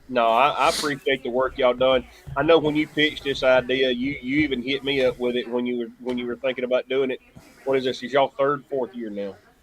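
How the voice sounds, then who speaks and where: A man with a Southern US accent speaks at a very fast pace and a medium pitch in a monotone, flat intonation over noticeable background noise. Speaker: local sports announcer. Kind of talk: casual chat. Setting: live stream.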